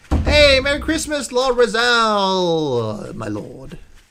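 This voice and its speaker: Amid audible room echo, a man speaks at a very slow pace with very wide pitch swings. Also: big swings in loudness. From Sweden. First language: Swedish. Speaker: gaming streamer. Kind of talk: casual chat. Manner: halting.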